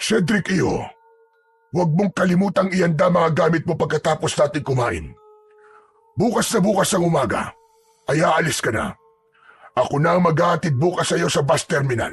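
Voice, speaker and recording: A man uses a put-on character voice at a high pitch and a moderate pace. His loudness stays very even, broken by long, frequent pauses. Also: ordinary pitch variation. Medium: read story. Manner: firm, curt.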